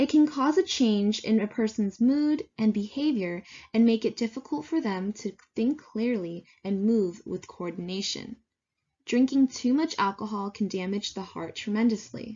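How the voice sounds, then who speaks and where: A woman talks at a moderate pace with fairly high pitch and lively intonation. Her voice is somewhat breathy. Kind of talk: slide presentation narration.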